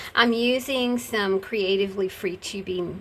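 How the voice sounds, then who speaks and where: A woman talks with a plain, everyday voice at a medium pitch. Her pace is fairly slow and her intonation fairly even. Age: 60s. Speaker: crafter and video creator. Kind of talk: casual craft tutorial chat. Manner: relaxed, chatty.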